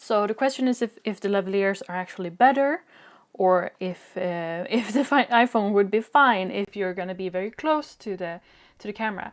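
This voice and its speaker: A woman speaks at medium pitch with a Swedish accent. Her pace is moderate and her pitch varies in an ordinary way. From Sweden. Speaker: video creator, drawing tutorials. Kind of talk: product review.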